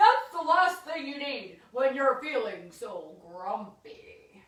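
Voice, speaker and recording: A put-on character voice, female-sounding and high-pitched, with very wide pitch swings, a very slow pace and slight echo. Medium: read story.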